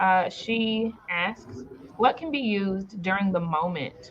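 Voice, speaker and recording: Over noticeable background noise, a woman speaks fairly slowly at medium pitch with ordinary pitch variation. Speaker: summit host. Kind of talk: live moderated Q&A.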